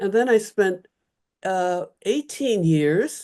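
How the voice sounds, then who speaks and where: At a fairly slow pace, a woman with an American accent speaks at a fairly low pitch in a dark, mellow tone against a quiet background. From Chicago, US Midwest. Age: 70s. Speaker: retired Bible scholar, professor. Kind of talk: oral history interview. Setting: video call from home.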